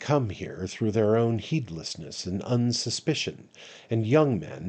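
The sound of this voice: An unforced reading voice.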